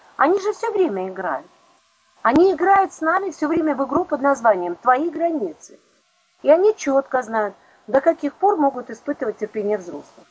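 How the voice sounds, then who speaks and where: Speaking at a moderate pace with long, frequent pauses, a woman with a high voice swings very widely in pitch and greatly in loudness. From Don region, southern Russia. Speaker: psychologist. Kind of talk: interview.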